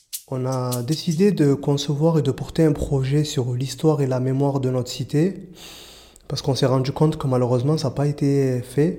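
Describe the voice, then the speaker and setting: A man speaks with a dark, mellow tone at a fairly high pitch, keeping his intonation fairly even. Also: moderate pace. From Marseille, southern France. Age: 30s. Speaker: youth prevention worker. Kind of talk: interview testimony. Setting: outdoors.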